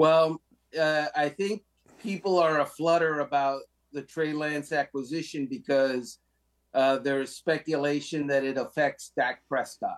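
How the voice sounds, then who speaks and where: In a very clean recording with a silent background, a man talks fairly slowly in an ordinary speaking voice that is fairly high and fairly even in intonation. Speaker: NFL writer. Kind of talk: casual sports talk interview.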